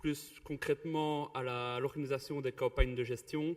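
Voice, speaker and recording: This man has a Belgian accent and talks at a very slow pace. His intonation is monotone and flat. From Belgium (Wallonia, Ardennes). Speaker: river contract project coordinator. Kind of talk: conference presentation. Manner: halting, many fillers and repetitions.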